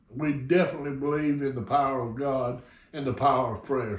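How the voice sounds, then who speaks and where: A man with a Southern US accent at a moderate pace, with audible room echo. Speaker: RC hobby channel host. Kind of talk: casual chat. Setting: hangar. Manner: slurred.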